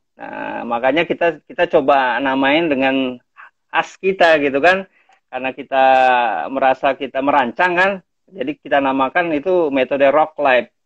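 With a fairly high pitch, a man speaks at a moderate pace with ordinary pitch variation, the sound dry with no echo and the background quiet. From Thousand Islands, Jakarta; Jakarta. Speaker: community conservation leader. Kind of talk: casual interview. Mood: friendly, relaxed. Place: home room. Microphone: video call.

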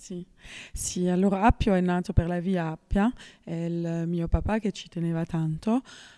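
Against a quiet background, a woman with a fairly low pitch and a dark, mellow tone speaks at a fairly slow pace with fairly even intonation. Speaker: winemaker. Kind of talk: interview answer. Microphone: handheld.

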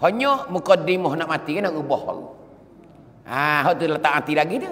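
A man with a Patani accent and lively intonation. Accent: Patani Malay (Kelantan-Patani dialect). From southern Thailand. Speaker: Islamic preacher. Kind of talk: sermon. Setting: mosque. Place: church. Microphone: podium.

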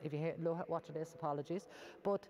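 A woman with an Irish accent and a fairly low pitch, her intonation fairly even, with light background noise. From Ireland. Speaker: Traveller community advocate; guest. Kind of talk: panel discussion. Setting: cathedral with live audience. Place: church. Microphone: lapel.

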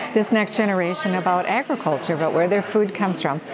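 A woman talks at a fairly quick pace while noticeable background noise persists. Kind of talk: interview answer. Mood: cheerful, enthusiastic. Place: farm machine. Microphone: lapel.

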